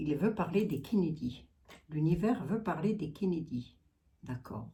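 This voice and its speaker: A woman with a strong Lorraine accent speaks very slowly, with a fairly low pitch and lively intonation. Her voice is somewhat breathy, with a dark, mellow tone. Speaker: psychic / clairvoyant. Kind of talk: casual chat, psychic channeling livestream. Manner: chatty, many fillers.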